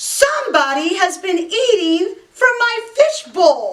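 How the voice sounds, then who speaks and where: In a put-on character voice, a woman growls loudly at an extremely high pitch with very wide pitch swings and a fairly slow pace. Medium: read story. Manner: loud, indignant.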